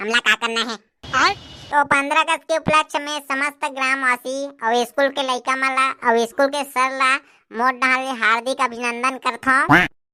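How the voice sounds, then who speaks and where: A woman performs a cartoonish character voice at a high pitch, with fairly even intonation and a moderate pace. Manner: folksy, rambling speechmaking.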